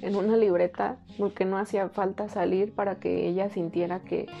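Faint music plays in the background. A woman speaks at a moderate pace with monotone, flat intonation. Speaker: vlogger. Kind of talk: casual vlog chat. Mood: earnest, reflective, emotional. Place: home room.

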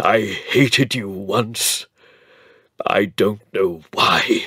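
Putting on a character voice, a man speaks shakily at a very slow pace, fairly low in pitch with ordinary pitch variation. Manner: emotional, miserable, pleading.

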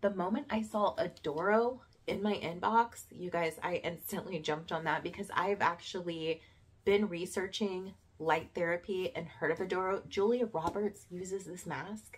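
This woman's voice is somewhat breathy. It sits at a medium pitch and shows ordinary pitch variation. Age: 30s. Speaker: beauty and lifestyle vlogger. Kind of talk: product review vlog.

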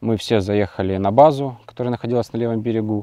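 A man with a fairly low pitch and a dark, mellow tone speaks with ordinary pitch variation. The sound is dry with no echo, over a quiet background. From Ukraine, Mariupol; Ukraine. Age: 20s. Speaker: soldier; interviewee. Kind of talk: interview; interview answer. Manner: halting. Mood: subdued, reflective. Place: open country. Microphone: lapel.

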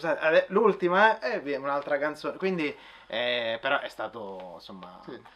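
The speech runs at a fairly slow pace, with big swings in loudness and very wide pitch swings. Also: man, fairly high pitch for a man. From Frosinone, central Italy; Italy. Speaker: orchestral trumpet player. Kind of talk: testimony interview; interview answer. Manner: halting, repeats words. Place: shop.

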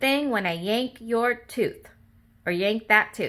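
The clip is spoken in an unforced reading voice.

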